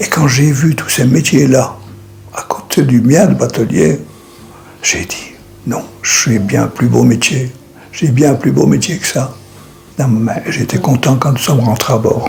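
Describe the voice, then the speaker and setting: Over music in the background, a man with a medium pitch talks at a very slow pace with lively intonation. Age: 80s+. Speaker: retired boatman. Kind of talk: documentary interview.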